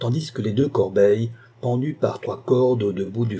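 Ordinary pitch variation in plain reading aloud

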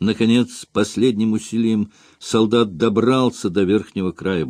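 Someone reads in an unforced voice.

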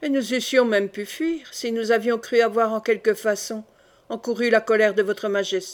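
The reading aloud is plain, and its intonation holds fairly even.

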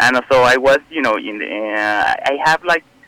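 A man with a Mexican accent, medium pitch and ordinary pitch variation, at a moderate pace, in a dry, close sound with no echo. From Mexico. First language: Spanish. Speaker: caller. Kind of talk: casual chat. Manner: halting.

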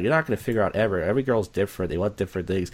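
With a Philadelphia accent, a man speaks at a fairly low pitch.

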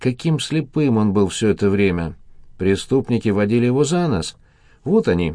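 Lively intonation in plain reading aloud

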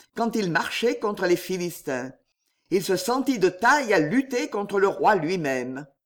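The clip carries an unforced reading voice against a quiet background.

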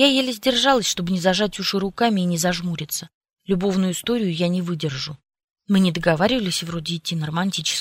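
A natural reading voice with ordinary pitch variation, over a quiet background

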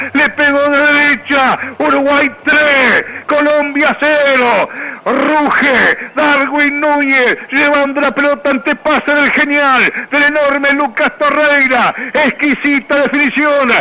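At a very slow pace, a man uses a raised, projected voice pitched extremely high, with monotone, flat intonation and very even loudness. Noticeable background noise runs beneath him. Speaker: football radio commentator. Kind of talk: live football commentary, goal call. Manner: emotional, dramatic, celebratory.

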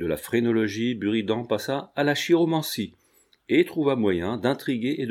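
What comes through is a natural reading voice.

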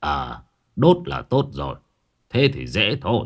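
Using a put-on character voice, a man speaks at a fairly low pitch and fairly slow pace, with vocal fry and big pitch swings, on a very clean recording with a silent background.

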